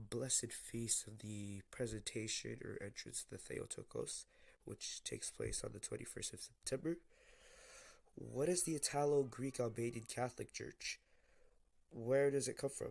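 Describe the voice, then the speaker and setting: A man at a moderate pace, with big swings in loudness. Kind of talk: casual talk to camera.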